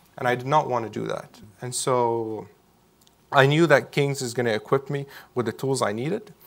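Against a quiet background, a man talks at a moderate pace. His pitch is medium, with ordinary variation. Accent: Arabic. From Syria. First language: Arabic. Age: 20s. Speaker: Syrian refugee, university student. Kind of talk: onstage interview conversation. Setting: event with live audience. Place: hall.

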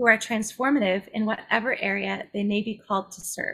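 A woman at a moderate pace with ordinary pitch variation, quiet background. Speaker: webinar host. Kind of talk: host introduction. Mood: warm, smiling. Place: home room.

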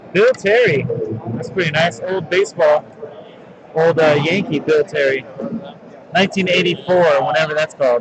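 A man's fairly high voice with ordinary pitch variation and long, frequent pauses, over noticeable background noise. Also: fairly slow pace. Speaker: sports card case breaker. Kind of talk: live-streamed card break commentary. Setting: trade show convention floor. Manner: loud. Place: hall.

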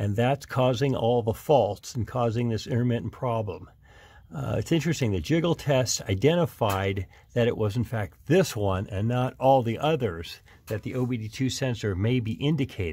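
A man talks at a moderate pace in a somewhat breathy voice. The background is quiet. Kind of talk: casual repair tutorial. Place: garage. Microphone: phone near.

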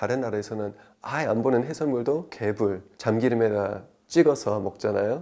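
A man is talking at a moderate pace. His voice sounds dark and mellow. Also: very clean recording, silent background. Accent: English. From United States. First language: English (speaking Korean). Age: 30s. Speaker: traditional liquor sommelier. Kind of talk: interview.

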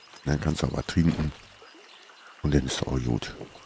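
Over noticeable background noise, a man speaks at a very deep, low pitch. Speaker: gaming YouTuber. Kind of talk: casual let's play commentary.

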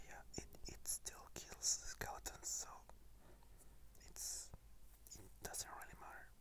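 Whispering moves at a very slow pace. Long, frequent pauses break it up. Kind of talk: ASMR gaming commentary. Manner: whispered.

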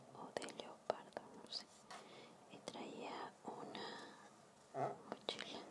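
Very slow whispering from a woman, broken by long, frequent pauses, with big swings in loudness over noticeable background noise. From Mexico. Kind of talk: ASMR sketchbook tour. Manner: whispered.

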